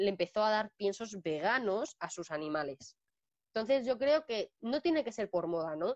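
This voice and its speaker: Speaking at a fairly slow pace, a woman uses lively intonation at a medium pitch. The sound is dry and close, with no echo. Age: 20s. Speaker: dog trainer and pet sitter. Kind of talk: casual interview. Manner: halting, many repetitions.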